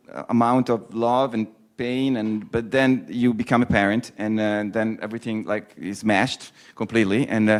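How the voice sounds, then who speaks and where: In an Italian accent, a man talks at a moderate pace with a medium pitch and fairly even intonation. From Italy. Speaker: poet. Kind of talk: talk to students. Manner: halting.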